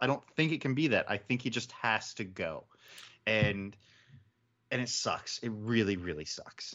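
A man with an American accent speaks in an ordinary speaking voice, using lively intonation at a moderate pace. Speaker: football podcast panelist. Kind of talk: casual sports podcast chat.

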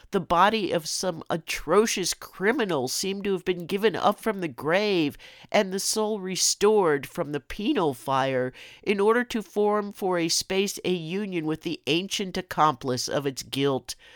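On a very clean recording with a silent background and a dry, close sound with no echo, a woman with an unremarkable speaking voice talks at a medium pitch with lively intonation. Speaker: podcast host. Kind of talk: reading aloud a classic ghost story, dramatic and spooky. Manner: slow, hushed and theatrical, building dread; casual and chatty in intro and outro.

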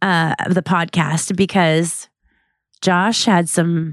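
A woman talks at a very slow pace with a fairly low pitch. The recording is very clean, with a silent background. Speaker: podcast co-host. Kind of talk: casual chat.

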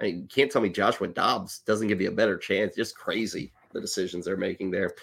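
A man talks at a fairly quick pace in a fairly low voice. The recording is very clean, with a silent background. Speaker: fantasy sports podcast host. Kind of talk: casual chat. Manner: loud.

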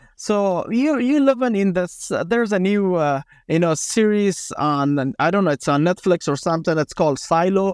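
In an Afghan accent, a man speaks at a moderate pace with hardly any pauses, a high pitch for a man, lively intonation and very even loudness, the sound dry and close with no echo on a very clean recording with a silent background. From Afghanistan. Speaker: former special forces commander and author. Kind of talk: casual interview. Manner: halting, filler-heavy.

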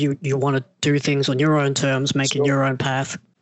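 A man speaks at a fairly quick pace with an Australian accent, his pitch fairly high. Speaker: podcast host. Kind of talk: casual interview chat.

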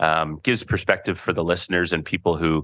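Very fast speech with a Canadian accent, monotone, flat intonation and a quiet background. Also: man. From Canada. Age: 40s. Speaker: podcast host. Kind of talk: casual chat.

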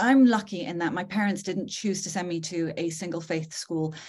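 A woman with a fairly low pitch and a somewhat breathy voice speaks at a moderate pace with fairly even intonation. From northern England. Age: 40s. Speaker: podcast host and psychologist. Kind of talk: conversational interview. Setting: video call.

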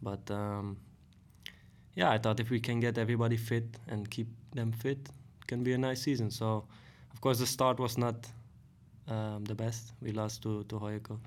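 A man with a Dutch accent talks at a moderate pace, his intonation fairly even. He leaves long, frequent pauses, and room echo is audible. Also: medium pitch for a man. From Netherlands, Hoogvliet near Rotterdam. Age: 30s. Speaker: professional footballer. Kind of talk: casual interview. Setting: studio. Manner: hesitant, many fillers.

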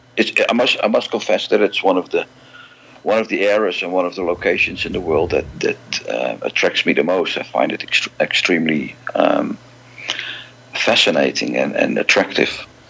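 A man with a Dutch accent speaks over noticeable background noise. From Netherlands, Amsterdam. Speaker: music fan club president and collector. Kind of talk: interview.

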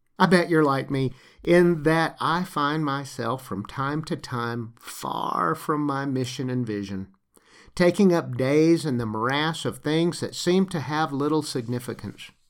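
In a slight Southern US accent, a man speaks at a fairly slow pace and a fairly high pitch, with ordinary pitch variation, on a very clean recording with a silent background. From US South, Lower Alabama. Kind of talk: scripted narration. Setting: home recording.

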